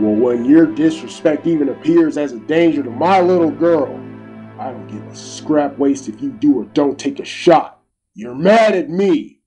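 A man at a moderate pace with very wide pitch swings, faint music in the background. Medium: audio drama. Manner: angry, defiant, street slang.

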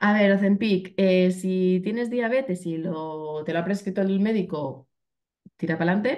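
A woman's dark, mellow tone at a fairly slow pace, with ordinary pitch variation against a quiet background. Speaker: keto nutrition workshop instructor. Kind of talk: Q&A answers; online workshop presentation. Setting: online live stream. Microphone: video call.

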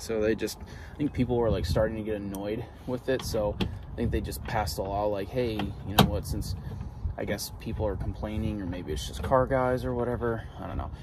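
A man's fairly low-pitched voice at a moderate pace, dry with no echo, over noticeable background noise. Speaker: vlogger. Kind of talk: casual vlog chat. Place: street. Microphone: phone near.

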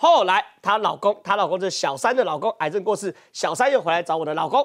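Against a quiet background, the speaker talks at a fairly quick pace in an animated tone with a Taiwanese accent. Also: man. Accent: Taiwanese Mandarin. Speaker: political talk show host. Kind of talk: political talk show commentary. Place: studio. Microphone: lapel.

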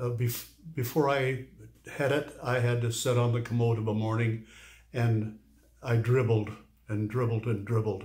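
A somewhat breathy man at a moderate pace, with monotone, flat intonation, long, frequent pauses and a quiet background. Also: medium pitch for a man. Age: 80s+. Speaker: urology patient. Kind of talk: interview answer. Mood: pleased, earnest. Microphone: phone near.

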